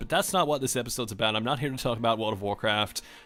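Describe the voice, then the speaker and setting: Music plays in the background as someone with an American accent speaks with ordinary pitch variation. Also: man. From Australia. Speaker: gaming video creator. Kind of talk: casual gameplay commentary.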